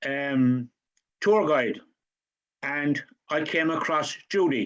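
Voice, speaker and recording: Very slowly, a man speaks with a strong Cork accent. His fairly high pitch shows ordinary variation. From Ireland, Cork. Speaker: audience member at online talk. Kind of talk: question and thanks at online event. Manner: halting.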